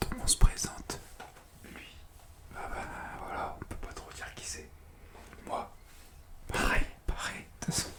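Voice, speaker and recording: A man whispers at a fairly slow pace, with long, frequent pauses and big swings in loudness. Background noise is noticeable. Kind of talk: ASMR whispered comedic talk. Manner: whispered.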